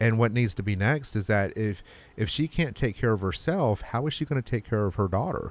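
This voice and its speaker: Very clean and set against a silent background, the recording has a man with an ordinary speaking voice at a medium pitch talking at a fairly quick pace. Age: 40s. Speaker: podcast host. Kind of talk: casual chat.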